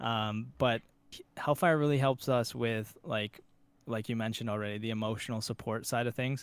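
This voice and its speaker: Medium in pitch, a man has an ordinary speaking voice with fairly even intonation. He keeps a moderate pace on a very clean recording with a silent background. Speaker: esports player. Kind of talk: casual interview chat.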